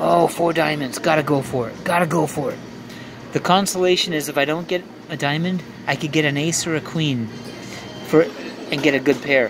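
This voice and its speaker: Music plays in the background as the voice moves at a fairly quick pace with ordinary pitch variation. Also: man. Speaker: gambling vlogger. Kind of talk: casual play-by-play commentary. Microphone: phone near.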